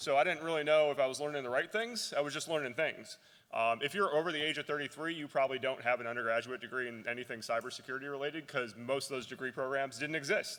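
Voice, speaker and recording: A man's bright, sharp-toned voice, fairly high in pitch, very fast with hardly any pauses and ordinary pitch variation. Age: 40s. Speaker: keynote speaker. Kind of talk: conference keynote. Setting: stage with audience. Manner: animated, hesitant fillers.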